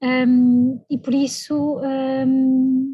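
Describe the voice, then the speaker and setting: A woman with a European Portuguese accent speaks at a high pitch. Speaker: evaluation specialist, invited speaker. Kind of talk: speech at online launch event.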